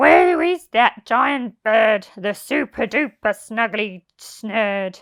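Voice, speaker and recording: In a raspy, put-on character voice, a woman speaks very slowly at a fairly high pitch with lively intonation and hardly any pauses. The recording is very clean, with a silent background. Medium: read story.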